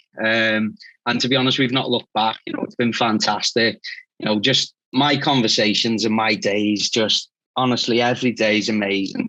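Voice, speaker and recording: Medium pitch, flat monotone intonation and a moderate pace from a man with a strong Scouse accent. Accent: strong Liverpool (Scouse). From northern England, Liverpool. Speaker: recruitment agency founder. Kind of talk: interview.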